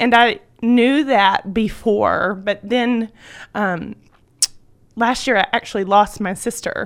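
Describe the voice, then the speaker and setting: With a Southern US accent, a woman talks at a very slow pace, leaving long, frequent pauses. Her fairly high pitch stays fairly even, and the recording is very clean with a silent background. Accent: Southern US (Georgia). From US South, Georgia. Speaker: homeschooling mother. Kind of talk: radio interview testimony. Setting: radio studio.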